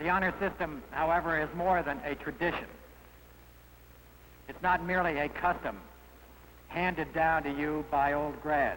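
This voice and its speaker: A man's fairly high voice at a moderate pace, fairly even in intonation, with long, frequent pauses. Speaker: alumni association president. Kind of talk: formal speech to students.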